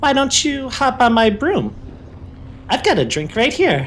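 Against clear background noise, a man uses a put-on character voice at an extremely high pitch, speaking at a moderate pace. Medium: actual play. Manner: eager, grasping.

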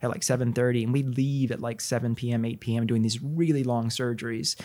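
Over a very clean recording with a silent background, a man with an American accent speaks at a very fast pace. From Texas, Corpus Christi. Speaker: plastic surgeon. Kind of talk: casual interview.

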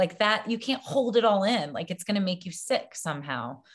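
This woman's voice is somewhat breathy, and she talks with an American accent. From US South, Baton Rouge, Louisiana. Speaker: actress and filmmaker. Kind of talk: interview.

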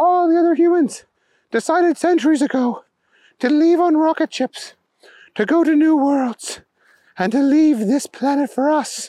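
A high-pitched, put-on character voice moves at a moderate pace with long, frequent pauses on a very clean recording with a silent background. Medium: read story. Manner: formal, commanding.

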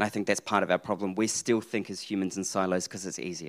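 The speaker has a New Zealand accent. The sound is dry and close, with no echo. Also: man. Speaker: accounting professor. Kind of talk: live panel discussion. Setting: stage with audience.

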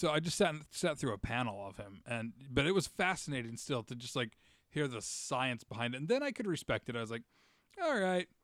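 With a normal speaking voice, a man talks at a fairly quick pace, medium in pitch and lively in intonation. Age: 30s. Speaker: podcast host and comedian. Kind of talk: casual chat.

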